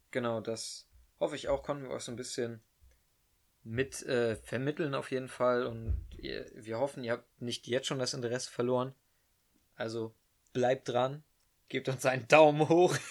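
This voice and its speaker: Music plays behind a man whose intonation stays fairly even. He leaves long, frequent pauses. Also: medium pitch for a man, moderate pace. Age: young. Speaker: podcast co-host, carpentry apprentice. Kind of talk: casual chat. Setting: bedroom at home.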